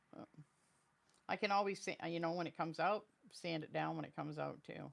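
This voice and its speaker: A woman's fairly low-pitched voice with vocal fry, fairly even intonation, and big swings in loudness. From Maine, US. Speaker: craft live streamer. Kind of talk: live stream crafting tutorial. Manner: casual, chatty. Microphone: new microphone to reduce noise.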